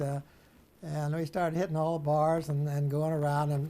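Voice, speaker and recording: With a Midwestern American accent, a man talks at a moderate pace. His tone is dark and mellow, his pitch fairly high. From Springfield, Illinois. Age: 80s+. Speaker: World War II veteran. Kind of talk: interview answer.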